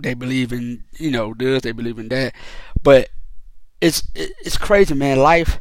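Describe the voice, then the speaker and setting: A man's medium-pitched voice at a fairly slow pace, with ordinary pitch variation and big swings in loudness. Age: 30s. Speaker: podcast host. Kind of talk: monologue rant. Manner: halting, many repetitions.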